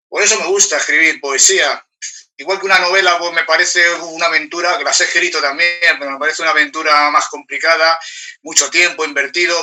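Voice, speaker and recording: A man speaks with fairly even intonation. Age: 60s. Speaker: award-winning poet. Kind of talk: panel discussion at book presentation. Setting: public event streamed online. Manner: halting, many repetitions.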